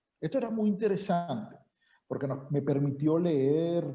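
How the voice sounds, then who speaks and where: A man's voice sits fairly high and carries a dark, mellow tone as he talks at a moderate pace. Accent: Venezuelan. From Venezuela. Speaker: university professor. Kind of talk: seminar introduction.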